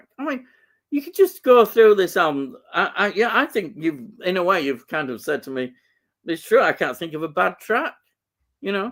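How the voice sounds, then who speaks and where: In a very clean recording with a silent background, a man's pitch swings very widely. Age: 50s. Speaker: podcast host. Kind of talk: casual chat.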